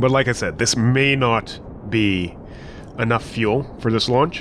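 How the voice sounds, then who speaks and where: A man talks at a fairly slow pace with medium pitch and ordinary pitch variation. Noticeable background noise runs under the recording. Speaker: gaming video host. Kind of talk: gameplay commentary. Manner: casual; loud.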